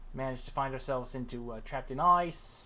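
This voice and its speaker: A man with a bright, sharp tone talks at a moderate pace, with ordinary pitch variation and audible room echo. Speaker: gaming streamer. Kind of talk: casual live stream chat. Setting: live stream. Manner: loud.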